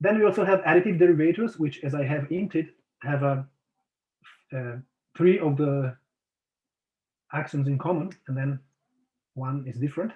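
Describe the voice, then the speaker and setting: Somewhat breathy, a man speaks at a moderate pace with a fairly high pitch, ordinary pitch variation and long, frequent pauses. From outside Italy. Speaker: mathematician. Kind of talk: lecture. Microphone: lagging connection.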